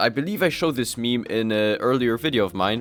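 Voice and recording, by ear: A passage is read aloud in a natural voice.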